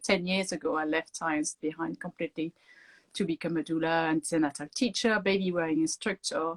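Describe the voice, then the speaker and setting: A woman with a French accent speaks at a moderate pace with ordinary pitch variation, in a dry, close sound with no echo. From France. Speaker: doula and author. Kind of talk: interview.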